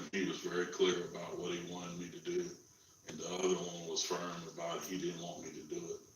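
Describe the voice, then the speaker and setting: A man speaks at a fairly quick pace in a calm tone, with audible room echo. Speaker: interviewee sharing police encounter. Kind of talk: interview.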